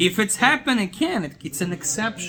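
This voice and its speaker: A man in a non-native accent, his voice raised and projected, animated in tone with lively intonation. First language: not English. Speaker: rabbi teaching Torah class. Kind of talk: Torah lecture to a small group. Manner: animated, with repeated filler words.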